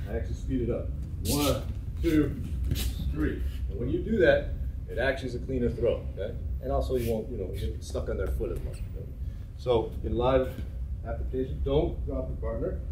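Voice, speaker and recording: Over noticeable background noise, a man talks at a moderate pace, pausing long and often. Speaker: judo instructor. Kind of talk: class instruction. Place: gym.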